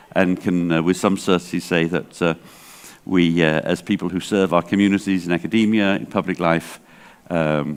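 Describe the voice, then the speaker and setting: Speaking with an English accent, a man delivers a very deep, low pitch in fairly even intonation. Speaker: library association director. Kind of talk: conference keynote talk. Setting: stage with audience, interpreted. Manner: hesitant, many fillers.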